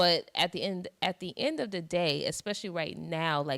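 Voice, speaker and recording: A woman with an American accent speaks at a moderate pace, her tone bright and sharp with vocal fry and lively intonation. The recording is very clean and dry, close with no echo and a silent background. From US East Coast. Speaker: interview host. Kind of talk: interview.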